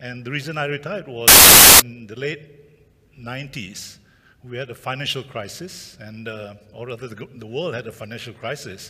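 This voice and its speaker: A man's medium-pitched voice with ordinary pitch variation at a moderate pace, against noticeable background noise. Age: 70s. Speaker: retiree and photographer. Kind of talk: conference talk. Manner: halting, many fillers; energetic.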